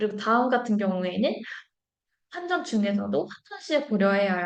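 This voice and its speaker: A woman is speaking. Her pitch is medium. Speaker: marketing data presenter. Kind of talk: live webinar presentation. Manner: hesitant, many fillers.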